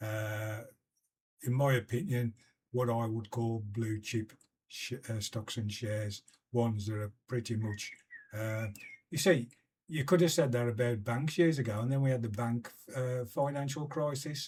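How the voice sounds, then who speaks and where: Speaking at a fairly slow pace with long, frequent pauses, a man with a British accent has a medium pitch and ordinary pitch variation. His voice is somewhat breathy. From UK. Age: 70s. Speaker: investing vlogger. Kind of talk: casual explainer video. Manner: halting, many fillers.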